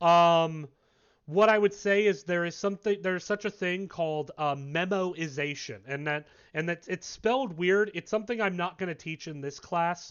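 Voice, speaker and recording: This man speaks loudly at a fairly quick pace. His pitch is high, with ordinary pitch variation. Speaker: university lecturer. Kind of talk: lecture.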